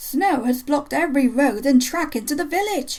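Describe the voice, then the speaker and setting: A woman uses a put-on character voice, raspy and high-pitched. She keeps a moderate pace. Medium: read story.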